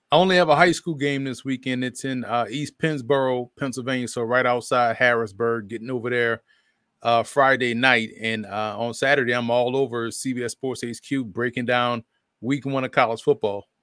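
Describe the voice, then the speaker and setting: A man speaks in a plain, everyday voice with an American accent, at medium pitch and a moderate pace with fairly even intonation. The recording is very clean with a silent background and a dry, close sound with no echo. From New Orleans, US South. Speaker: football analyst and broadcaster. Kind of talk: casual sports talk.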